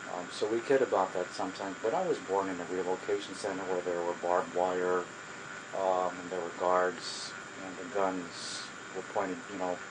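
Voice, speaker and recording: A man speaks in a very deep, low voice with monotone, flat intonation. Noticeable background noise is present. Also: moderate pace. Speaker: social worker. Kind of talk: oral history interview. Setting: home. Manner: halting.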